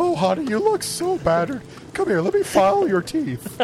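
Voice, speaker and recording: The speaker uses a put-on character voice at a moderate pace. Background noise is clearly audible. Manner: sweet and sinister, playful.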